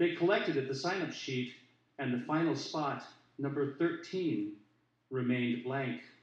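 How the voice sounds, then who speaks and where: Here a man with an American accent speaks at medium pitch and a fairly slow pace, with lively intonation and audible room echo. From US Pacific Northwest, Portland Oregon. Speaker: poet. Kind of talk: poetry reading. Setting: stage with audience.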